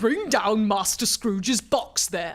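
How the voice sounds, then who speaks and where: A woman puts on a character voice, booming at a fairly high pitch. She speaks at a fairly slow pace. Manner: shouting a command.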